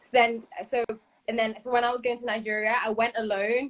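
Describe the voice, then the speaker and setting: Recorded with a dry, close sound and no echo, a woman with a Liverpool accent speaks at a fairly quick pace. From northern England, Liverpool. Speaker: Afropop singer. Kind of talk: casual interview chat.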